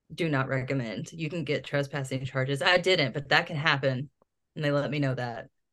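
A woman speaks at a fairly quick pace with a very deep, low pitch and fairly even intonation. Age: 30s. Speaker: podcast host. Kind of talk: casual storytelling chat. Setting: home recording.

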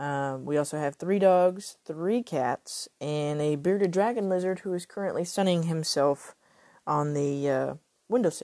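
A woman speaks fairly slowly with a Texan accent, her pitch fairly low and her pitch variation ordinary. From Texas. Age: 30s. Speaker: podcaster, suicide survivor. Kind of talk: personal testimony. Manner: halting.

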